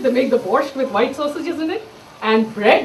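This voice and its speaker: Someone with an Indian accent speaks at a fairly quick pace against noticeable background noise. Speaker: chef. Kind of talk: storytelling talk with cooking demo. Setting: stage with audience.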